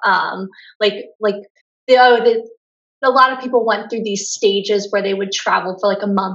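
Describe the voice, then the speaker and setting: At a moderate pace, the delivery keeps a fairly even intonation. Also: woman. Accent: Pennsylvania. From US, Pennsylvania (Lancaster County). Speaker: travel blogger. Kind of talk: casual interview.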